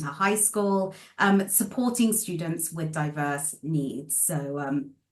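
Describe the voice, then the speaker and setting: Her intonation lively, a woman speaks with a British accent. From UK. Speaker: speech therapist and researcher. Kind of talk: podcast interview. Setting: call.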